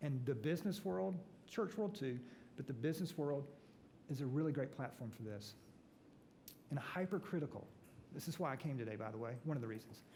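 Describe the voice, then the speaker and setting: A man with a slight Southern US accent talks at a fairly quick pace and a fairly high pitch, his intonation lively and his tone dark and mellow, somewhat breathy, with long, frequent pauses and audible room echo. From US South, Atlanta. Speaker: pastor and author. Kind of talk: talk to business breakfast audience. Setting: church event with audience. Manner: animated.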